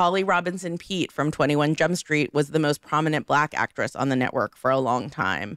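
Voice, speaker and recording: A woman's very deep, low pitch with vocal fry and ordinary pitch variation, in a dry, close sound with no echo. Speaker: podcast host. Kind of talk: casual chat. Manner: animated.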